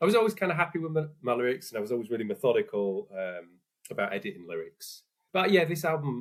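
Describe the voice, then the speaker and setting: Someone with a northern English accent speaks at a moderate pace, the pitch swinging very widely. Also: man. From northern England, Hull. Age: 40s. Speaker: musician. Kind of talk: interview. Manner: careful enunciation.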